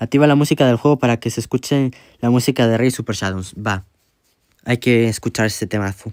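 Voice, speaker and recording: The speech moves at a fairly quick pace, and the sound is dry and close with no echo. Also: man, medium pitch for a man. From Spain. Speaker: gaming streamer. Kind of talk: live gameplay stream chat. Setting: livestream. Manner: animated.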